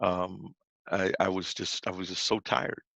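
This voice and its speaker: In an American accent, the voice has a dry, close sound with no echo and a quiet background. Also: man. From New Orleans, Louisiana. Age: 60s. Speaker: pastor and author. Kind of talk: presentation talk. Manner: halting, many false starts.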